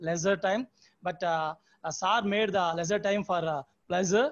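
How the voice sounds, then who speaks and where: At a moderate pace, a man with a Telugu accent speaks with ordinary pitch variation. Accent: Telugu-accented Indian English. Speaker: teacher concluding the session. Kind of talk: formal concluding remarks. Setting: video call. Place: home room. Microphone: earbuds.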